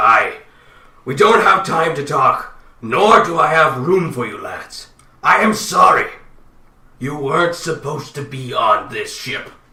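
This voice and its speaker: Putting on a character voice, a man speaks fairly slowly with fairly high pitch and long, frequent pauses, and a slight echo can be heard. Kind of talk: fantasy dwarf, game master voice. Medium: actual play. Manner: gruff, brusque.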